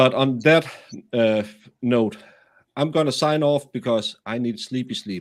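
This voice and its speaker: A man with a slight Danish accent speaks at a fairly slow pace, leaving long, frequent pauses. His pitch variation is ordinary, and the recording is very clean with a silent background. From Denmark. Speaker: true crime streamer. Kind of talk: casual live stream chat. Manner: halting with many fillers.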